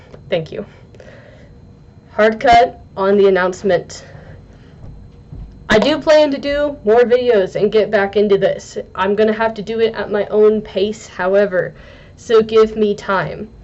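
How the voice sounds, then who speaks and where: There is noticeable background noise as a woman speaks at a fairly high pitch with ordinary pitch variation. Her pace is fairly slow, broken by long, frequent pauses. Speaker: book reviewer. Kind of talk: casual video review. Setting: talking to a camera. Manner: halting.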